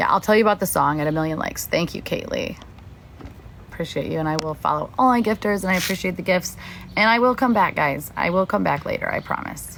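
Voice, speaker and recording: Talking very fast, a woman with a fairly low voice sounds animated, her intonation lively. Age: 30s. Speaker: TikTok livestreamer and drama commentator. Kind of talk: casual livestream chat.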